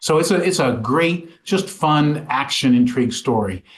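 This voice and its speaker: A man's somewhat breathy, fairly high voice with ordinary pitch variation. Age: 60s. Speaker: author and small business owner. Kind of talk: interview. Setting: podcast. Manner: halting, frequent repetitions and fillers.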